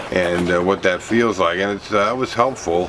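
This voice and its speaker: A man talks in a very deep, low voice over noticeable background noise. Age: 60s. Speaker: vlogger. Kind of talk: casual video vlog. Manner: halting, many fillers.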